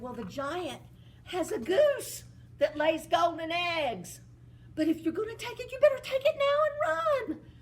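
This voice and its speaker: The speaker uses a put-on character voice. The pitch is extremely high. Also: moderate pace. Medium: read story. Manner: booming, menacing.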